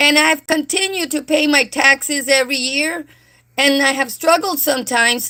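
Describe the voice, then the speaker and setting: A woman speaks at a moderate pace in a raised, projected voice. Her pitch is high and her tone bright and sharp. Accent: American. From South Texas. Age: 60s. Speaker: livestreamer. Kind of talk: live stream monologue with chat. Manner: animated.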